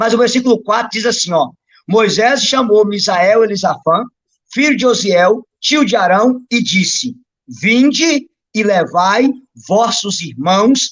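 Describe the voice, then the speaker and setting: A man's high-pitched voice with lively intonation at a fairly slow pace. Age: 30s. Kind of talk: religious teaching on a live stream. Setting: live stream.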